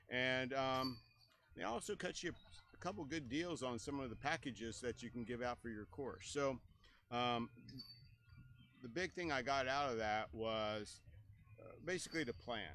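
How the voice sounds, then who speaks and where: A man's medium-pitched voice in a Texan accent, bright and sharp in tone, at a moderate pace with ordinary pitch variation and long, frequent pauses. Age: 60s. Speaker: disc golf course owner and tournament director. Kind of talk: interview.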